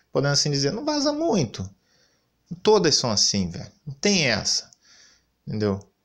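A man's fairly high voice, with very wide pitch swings, a moderate pace, long, frequent pauses and a quiet background. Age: 30s. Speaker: gaming YouTuber; gaming commentator. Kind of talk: commentary rant. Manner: animated. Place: home room.

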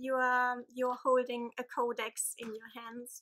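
In a German accent, a woman speaks very slowly in a high voice with a bright, sharp tone. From Germany. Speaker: book vlogger. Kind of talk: casual vlog. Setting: home. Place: home room. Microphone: phone near.

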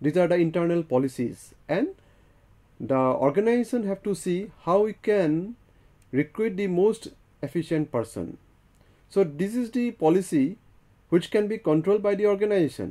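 This man's voice is high-pitched and moves at a moderate pace, broken by long, frequent pauses. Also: lively intonation. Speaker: lecturer. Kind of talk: lecture. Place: studio. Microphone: lapel.

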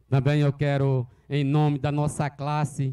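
A man talks at a very slow pace in a dark, mellow tone. The background is quiet. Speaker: local councillor. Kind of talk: public speech. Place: open country. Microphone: handheld.

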